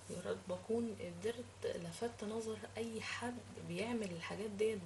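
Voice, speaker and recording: A woman's voice over noticeable background noise. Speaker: cooking and lifestyle vlogger. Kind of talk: casual vlog monologue to viewers. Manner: halting, with many fillers.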